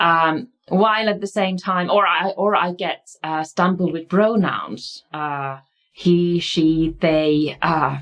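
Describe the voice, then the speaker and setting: Speaking at a very slow pace, a woman with a Finnish accent has a fairly low pitch. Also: ordinary pitch variation. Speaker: university researcher and lecturer. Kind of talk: lecture. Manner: halting, with many fillers.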